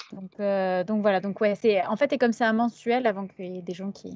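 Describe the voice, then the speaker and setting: At a fairly quick pace, a woman with a fairly high pitch talks in an unremarkable speaking voice with fairly even intonation. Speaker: publisher's press officer hosting a live stream. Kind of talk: casual live stream chat. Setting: live stream with chat.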